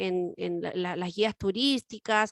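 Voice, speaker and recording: A woman with a Chilean accent at a very slow pace, a dry, close sound with no echo, and a quiet background. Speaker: radio co-host. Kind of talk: casual chat.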